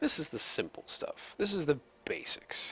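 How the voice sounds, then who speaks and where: A man is whispering. He keeps a fairly slow pace. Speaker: video game let's play host. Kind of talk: gameplay tutorial commentary. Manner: whispery.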